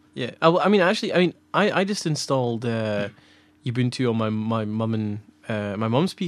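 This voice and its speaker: With a Scottish accent, a man speaks at a fairly quick pace with lively intonation. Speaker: podcast co-host, filmmaker. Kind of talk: casual chat. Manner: fast.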